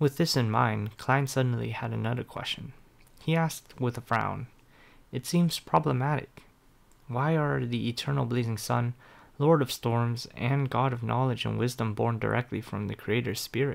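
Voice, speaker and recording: This man has an ordinary speaking voice at a medium pitch. He moves at a moderate pace with ordinary pitch variation. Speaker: audiobook narrator. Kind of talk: web novel audiobook narration, reading aloud. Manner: steady storyteller pace, shifting tone to voice each character.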